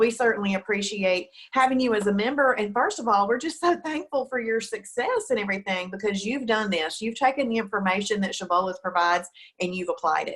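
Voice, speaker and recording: At a fairly quick pace, a woman speaks in a normal speaking voice, fairly high in pitch, with lively intonation. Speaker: diet program host. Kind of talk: interview host, casual talk. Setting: studio.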